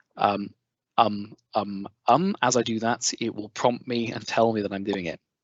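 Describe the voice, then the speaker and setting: Speaking with an English accent, a man uses a medium pitch and fairly even intonation. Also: fairly slow pace. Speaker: edtech trainer. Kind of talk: webinar tutorial. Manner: filler-heavy, ums and uhs; barely monotone.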